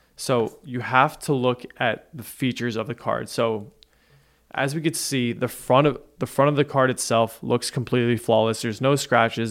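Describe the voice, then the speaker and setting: A man with a normal speaking voice talks in a medium pitch. His pace is moderate and his intonation fairly even. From New Jersey. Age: 20s. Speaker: podcast producer. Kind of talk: casual chat.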